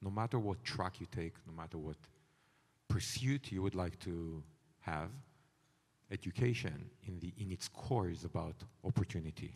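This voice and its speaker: Pausing long and often, a man with a non-native accent speaks at a moderate pace with a very deep, low pitch, ordinary pitch variation and a somewhat breathy sound. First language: not English. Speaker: company CEO, panelist. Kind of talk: panel discussion.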